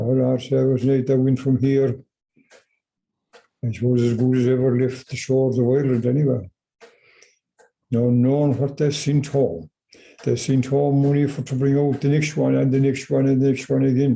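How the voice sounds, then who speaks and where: Somewhat breathy, a man at medium pitch speaks at a moderate pace in a dark, mellow tone, with monotone, flat intonation, very even loudness and long, frequent pauses. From Ireland. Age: 80s+. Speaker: farmer. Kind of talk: oral history interview answer.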